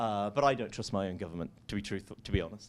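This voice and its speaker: A man speaks at a very fast pace in a British accent. The recording is very clean, with a silent background. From UK. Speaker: venture capitalist and conference speaker. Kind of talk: conference talk. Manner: lively, conversational with many fillers.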